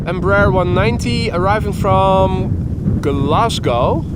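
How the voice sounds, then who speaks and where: A man with a Dutch accent at a very slow pace, with audible room echo and noticeable background noise. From Netherlands. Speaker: plane spotting livestreamer. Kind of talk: live commentary. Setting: outdoors by airport runway. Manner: halting, stumbles over words.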